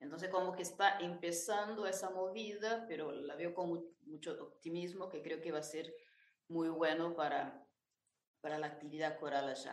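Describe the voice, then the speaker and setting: Moderate-paced speech in a Brazilian accent, with audible room echo. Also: woman, fairly low pitch for a woman, ordinary pitch variation. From Brazil, interior of São Paulo state. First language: Portuguese (speaking Spanish). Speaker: choir director and arranger. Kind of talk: interview.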